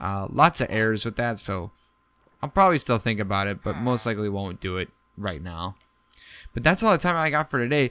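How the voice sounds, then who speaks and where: Over a very clean recording with a silent background, a man with a fairly low pitch and a bright, sharp tone talks at a fairly quick pace, his pitch swinging very widely between long, frequent pauses. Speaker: gaming video creator. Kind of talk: game commentary. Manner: soft-spoken.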